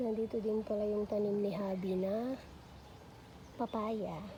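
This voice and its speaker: A woman's fairly high voice at a very slow pace over noticeable background noise. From Batangas, Philippines. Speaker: vlogger, pastor's wife and mother. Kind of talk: casual vlog tour. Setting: outdoors in backyard. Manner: relaxed, conversational.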